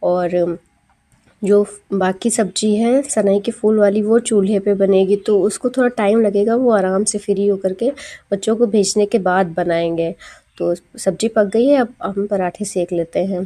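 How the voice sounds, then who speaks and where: Against a quiet background, a woman with a medium pitch and a dark, mellow tone talks at a very slow pace with fairly even intonation. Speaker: housewife vlogger. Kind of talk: vlog narration. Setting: at home.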